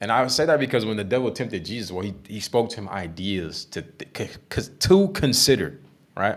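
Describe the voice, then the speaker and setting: Speaking at a fairly quick pace, a man uses a medium pitch and lively intonation. His loudness swings a lot. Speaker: Bible teacher. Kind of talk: Bible study discussion. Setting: live stream. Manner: halting; fast.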